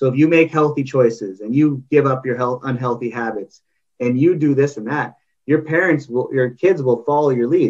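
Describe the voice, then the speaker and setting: This man has an ordinary speaking voice with a Canadian accent, pitched fairly high. He talks at a moderate pace with ordinary pitch variation. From Canada. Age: 30s. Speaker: parenting coach. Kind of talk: interview. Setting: video call.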